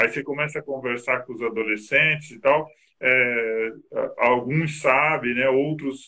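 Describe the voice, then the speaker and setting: At a fairly slow pace, a man talks with fairly even intonation and medium pitch. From northern Paraná, Brazil. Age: 40s. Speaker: social project leader. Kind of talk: interview. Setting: video call. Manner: halting.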